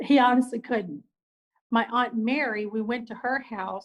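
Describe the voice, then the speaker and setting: A woman's somewhat breathy, fairly high-pitched voice with a Southern US accent. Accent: Southern country. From US South, rural. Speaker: business owner. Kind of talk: casual interview chat. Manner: animated.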